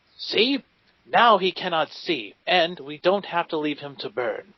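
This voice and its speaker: Someone performs a put-on character voice with lively intonation at a fairly slow pace. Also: man, high pitch for a man, big swings in loudness. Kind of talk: old-fashioned heroic speech. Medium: actual play. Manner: earnest, warm, idealistic.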